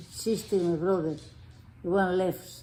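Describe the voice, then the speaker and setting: With a Spanish accent, a woman speaks at medium pitch with fairly even intonation. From Spain. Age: 80s+. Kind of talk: interview answer.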